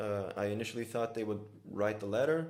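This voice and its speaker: A man with a Brazilian accent and a fairly low pitch, with audible room echo. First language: Brazilian Portuguese. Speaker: filmmaker and workshop organizer. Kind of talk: conversational interview.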